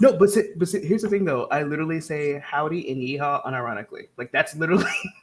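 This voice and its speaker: Very fast, fairly high-pitched man's voice with lively intonation, an American accent and noticeable background noise. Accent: southern US accent, toned down. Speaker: writing livestream host. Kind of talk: casual chat. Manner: animated.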